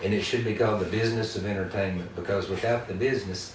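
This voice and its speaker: With an Appalachian accent, a man talks at a very fast pace in a fairly low voice with fairly even intonation, amid noticeable background noise. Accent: Southern Appalachian American. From western North Carolina. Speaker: singer-songwriter and storyteller. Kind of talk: interview answer. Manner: deadpan.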